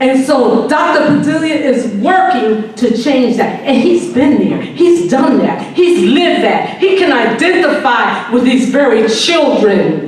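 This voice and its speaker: A woman's high-pitched voice with lively intonation at a very slow pace, with audible room echo and noticeable background noise. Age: 70s. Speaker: community activist. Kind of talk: public comment speech. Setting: public meeting. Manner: emphatic.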